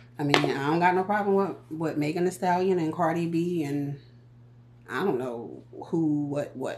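A woman with an American accent, a very deep, low pitch, ordinary pitch variation, an animated, playful tone and a fairly slow pace, over noticeable background noise. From US Northeast. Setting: home, filming herself on a tripod. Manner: chatty, animated, playful.

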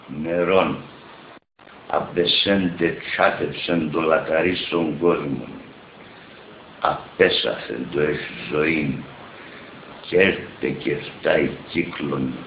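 A man with a Pontic Greek accent speaks at a very deep, low pitch and a very slow pace, with fairly even intonation. Long, frequent pauses break his speech, and background noise is noticeable. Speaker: poet. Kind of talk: poetry reading. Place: home room. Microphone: earbuds.

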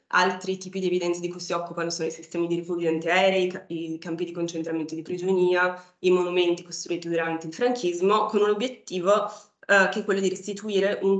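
A woman talks at a fairly quick pace with hardly any pauses, her intonation fairly even but her loudness swinging widely. Audible room echo fills the space, though the background stays quiet. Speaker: PhD student. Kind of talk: academic talk. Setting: stage with audience. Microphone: video call.

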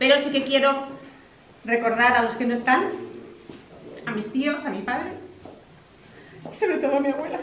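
Loud and high-pitched, a woman speaks at a moderate pace with ordinary pitch variation and long, frequent pauses, with audible room echo and light background noise. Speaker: granddaughter giving a family speech. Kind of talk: celebratory speech. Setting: outdoor village party without microphone. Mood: warm, emotional. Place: hall. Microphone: no microphone; camera far.

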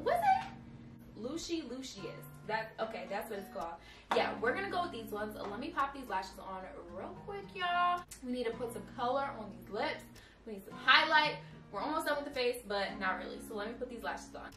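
Over clear music in the background, a woman talks at a fairly quick pace in a high pitch, with big swings in loudness. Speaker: beauty vlogger. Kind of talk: casual vlog chat. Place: home room.

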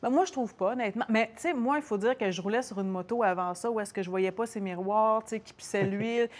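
A woman's fairly high voice in a Quebec accent, at a fairly quick pace with hardly any pauses and ordinary pitch variation. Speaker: TV host, motorcyclist guest; TV host, guest. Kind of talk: casual chat. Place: shop.

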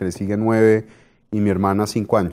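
Against a quiet background, a man with a fairly low pitch and a dark, mellow tone talks at a moderate pace. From Colombia, Bogotá. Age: 40s. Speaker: business executive; guest. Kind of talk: interview; interview answer. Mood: relaxed, reflective. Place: studio. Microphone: lapel.

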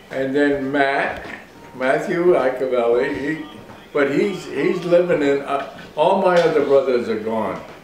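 A man with an American accent and a fairly high pitch varies his pitch in an ordinary way, with audible room echo and light background noise. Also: fairly slow pace. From Bristol, Rhode Island, US. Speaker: World War II navy veteran. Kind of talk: oral history interview. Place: kitchen. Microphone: camera far.

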